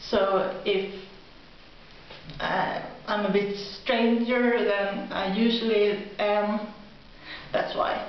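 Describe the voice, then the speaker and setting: A woman with a Swedish accent speaks at a very slow pace, at medium pitch, with monotone, flat intonation and long, frequent pauses. The recording has audible room echo and noticeable background noise. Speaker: video blogger. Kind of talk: casual vlog monologue. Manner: halting.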